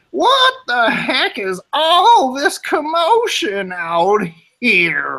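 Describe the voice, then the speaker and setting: The put-on character voice is high-pitched and moves at a very slow pace. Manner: annoyed, demanding.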